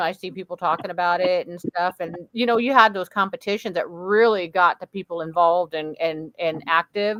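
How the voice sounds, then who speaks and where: A woman speaks in a Midwestern American accent. The sound is dry and close, with no echo. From US Midwest. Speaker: podcast host. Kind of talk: casual chat.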